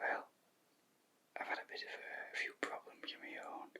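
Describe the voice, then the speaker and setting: Whispering at a moderate pace, a man speaks with a Yorkshire accent. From Yorkshire, England. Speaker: shiatsu practitioner. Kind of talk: ASMR bedtime story. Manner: whispered.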